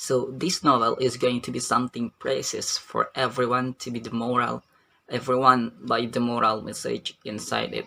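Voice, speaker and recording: A man with an Indonesian accent, at a moderate pace. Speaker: university student. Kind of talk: book review. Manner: halting.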